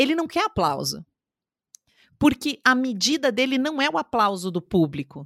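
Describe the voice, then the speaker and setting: On a very clean recording with a silent background and a dry, close sound with no echo, a woman speaks at a moderate pace in a high voice with very wide pitch swings and long, frequent pauses. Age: 30s. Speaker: communication and public speaking coach. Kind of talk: interview.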